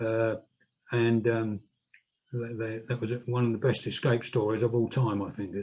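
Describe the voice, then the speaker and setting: With a dark, mellow, somewhat breathy tone, a man talks at a medium pitch in a flat monotone, leaving long, frequent pauses. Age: 70s. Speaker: political activist and author. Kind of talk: public talk. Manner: halting.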